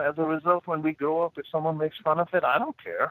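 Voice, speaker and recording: A man with an Indian accent, fairly high in pitch, at a fairly quick pace, in a dry, close sound with no echo. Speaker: motivational speaker and executive coach. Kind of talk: interview conversation.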